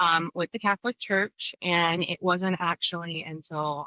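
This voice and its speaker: Speaking at a fairly slow pace, a woman uses an unremarkable speaking voice that sits fairly low and keeps a fairly even intonation. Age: 30s. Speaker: podcast co-host. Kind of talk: casual chat.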